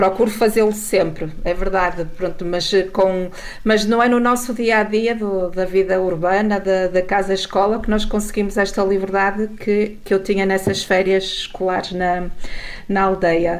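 A woman speaks with monotone, flat intonation and very even loudness. Audible room echo and noticeable background noise fill the recording. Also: medium pitch for a woman, moderate pace. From northern Portugal, Mesão Frio. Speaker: journalist. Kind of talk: radio interview.

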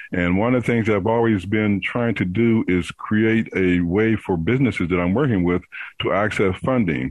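An unremarkable speaking voice from a man, fairly low in pitch with ordinary pitch variation, at a moderate pace and very even loudness. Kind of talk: casual interview.

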